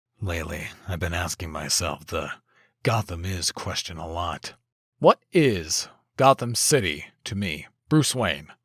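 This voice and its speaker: A man puts on a raspy character voice with a very deep, low pitch, moving at a moderate pace with long, frequent pauses and big swings in loudness. The sound is dry and close, with no echo. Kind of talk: comic dub performance. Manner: terse, serious.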